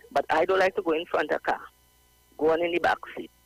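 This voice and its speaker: A man's voice comes through with a dry, close sound and no echo, against noticeable background noise. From Trinidad, Port of Spain. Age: 60s. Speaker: caller. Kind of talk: phone-in storytelling.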